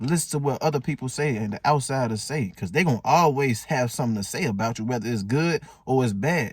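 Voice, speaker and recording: A man talks at a very fast pace with an animated tone and lively intonation. His voice is somewhat breathy, and the recording is very clean with a silent background. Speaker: motivational vlogger. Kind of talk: casual motivational talk.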